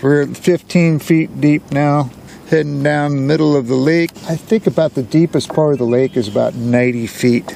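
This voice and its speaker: A relaxed, dark, mellow voice with an American accent and ordinary pitch variation. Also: man, fairly high pitch for a man, moderate pace. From US Pacific Northwest, Washington. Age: 70s. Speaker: fishing vlogger. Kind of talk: casual vlog narration. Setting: outdoors on a boat on a lake. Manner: relaxed, casual with fillers.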